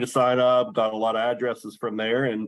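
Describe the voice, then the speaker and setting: A man with a medium-pitched voice and an American accent talks at a moderate pace in an ordinary speaking voice. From western Maryland. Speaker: sports card collector. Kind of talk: podcast interview.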